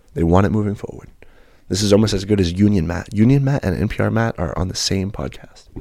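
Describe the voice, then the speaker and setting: Soft-spoken, a man talks at a fairly quick pace in a fairly low pitch with a dark, mellow tone and ordinary pitch variation. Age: 20s. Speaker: podcast co-host. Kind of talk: casual chat. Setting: studio. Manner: put-on soft-spoken NPR-style delivery.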